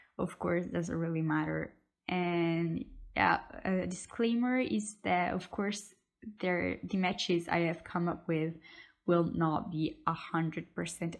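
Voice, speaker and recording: A woman with a non-native accent speaks at a fairly slow pace in a fairly low pitch against a quiet background. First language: not English. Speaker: YouTuber, K-pop fan. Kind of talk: casual vlog talk to camera. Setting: at home. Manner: hesitant, with fillers.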